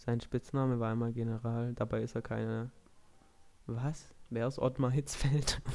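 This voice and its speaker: This man's voice is medium in pitch with a dark, mellow tone. He keeps a moderate pace and a monotone, flat intonation, broken by long, frequent pauses. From Kornwestheim, Swabia, southern Germany. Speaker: podcast host. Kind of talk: casual chat.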